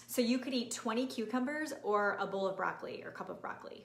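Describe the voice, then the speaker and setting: Talking at a very fast pace with ordinary pitch variation, a woman is heard with audible room echo. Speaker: nutrition and fitness coach. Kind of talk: live-streamed training. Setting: live video stream. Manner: animated.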